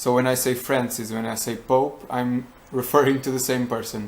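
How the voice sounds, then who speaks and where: A man's medium-pitched voice with a Portuguese accent, flat and monotone, at a fairly slow pace. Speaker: vlogger. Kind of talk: casual vlog talk. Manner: halting.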